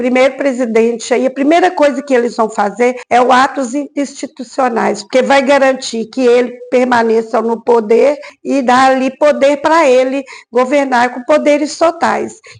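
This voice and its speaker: Her pitch sits high as this woman speaks. She keeps a moderate pace and fairly even intonation. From Brazil, Minas Gerais. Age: 60s. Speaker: history teacher. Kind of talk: documentary interview. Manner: hesitant, many fillers.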